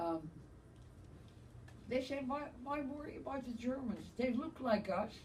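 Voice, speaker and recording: A woman's high voice with lively intonation, a fairly slow pace, long and frequent pauses, and audible room echo. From Netherlands, Amsterdam. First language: Dutch. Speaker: Holocaust survivor. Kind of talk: testimony.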